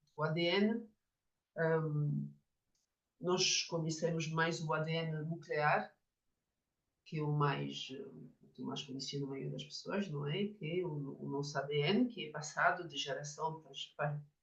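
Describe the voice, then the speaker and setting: With a French accent, a woman with a very deep, low pitch speaks at a fairly slow pace with long, frequent pauses, big swings in loudness and ordinary pitch variation. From France. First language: French (speaking Portuguese). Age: 50s. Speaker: Jungian psychotherapist and author. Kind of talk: lecture. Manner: halting, with many fillers.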